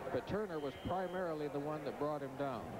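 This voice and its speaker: A man's fairly high voice at a fairly quick pace, dry with no echo, over noticeable background noise. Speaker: color commentator. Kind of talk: live commentary. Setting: stadium broadcast booth.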